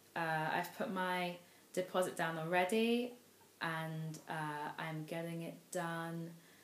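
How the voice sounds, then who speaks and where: A woman with a London accent speaks at a fairly low pitch. Her pace is very slow, and there is audible room echo. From London, England. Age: 20s. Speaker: vlogger. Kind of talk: vlog monologue. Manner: hesitant, many fillers.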